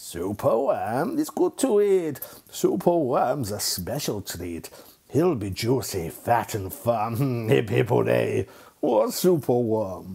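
Using a croaky, put-on character voice, a man with a medium pitch speaks at a fairly slow pace. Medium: read story. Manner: gloating, sinister.

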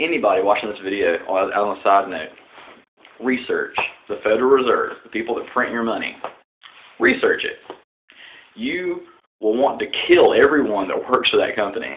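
A man with a strong Southern US accent at a moderate pace, long, frequent pauses and light background noise. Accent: deep Southern US. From Southern United States. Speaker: political vlogger. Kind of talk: casual political talk to camera. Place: home room. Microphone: webcam.

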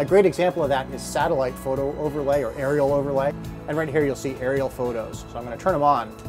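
Clear music plays in the background. A man speaks at a very fast pace with fairly even intonation. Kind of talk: product demonstration. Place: boat.

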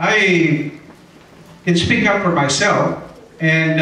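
Audible room echo surrounds a man speaking at a fairly high pitch. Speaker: retired judge and council candidate. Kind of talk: candidate debate speech. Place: hall. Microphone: pa.

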